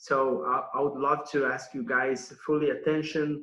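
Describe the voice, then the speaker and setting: Someone with a Brazilian accent speaks at a fairly slow pace in a bright, sharp tone. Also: man. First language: Portuguese. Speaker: nutrition consultant. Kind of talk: online summit presentation. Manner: hesitant, many fillers and repetitions.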